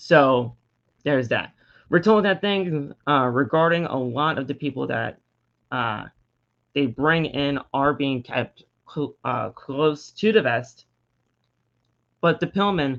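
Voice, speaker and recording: Against a quiet background, a man with a fairly high pitch speaks at a very slow pace, with ordinary pitch variation and long, frequent pauses. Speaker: wrestling podcast host. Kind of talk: casual commentary. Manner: stuttering; halting.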